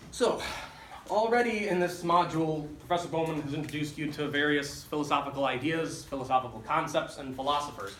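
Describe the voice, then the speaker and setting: The man's pitch is fairly high, heard through audible room echo and noticeable background noise. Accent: American. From US Midwest, Chicago. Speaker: lecturer, doctoral student. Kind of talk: lecture. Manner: fast; animated.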